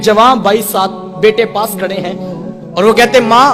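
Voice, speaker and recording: A man's high voice with fairly even intonation, with music in the background. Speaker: Islamic religious preacher. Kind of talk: religious sermon. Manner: emotional, passionate, pleading.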